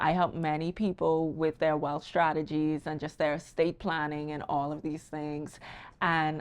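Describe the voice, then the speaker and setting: Against a quiet background, a woman speaks with a very deep, low pitch in a Bahamian accent. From Bahamas. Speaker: wealth strategist. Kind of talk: casual podcast conversation.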